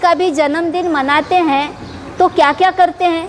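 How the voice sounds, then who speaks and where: A woman's extremely high-pitched voice comes through noticeable background noise. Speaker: Buddhist nun. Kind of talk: dharma talk. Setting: Buddhist temple gathering. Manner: formal.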